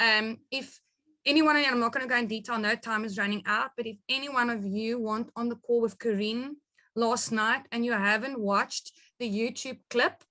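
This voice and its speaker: Fairly high female voice in a South African accent, with fairly even intonation at a moderate pace. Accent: Afrikaans South African English. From rural South Africa, Afrikaans-speaking. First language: Afrikaans. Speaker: network marketing business leader. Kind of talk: business training webinar.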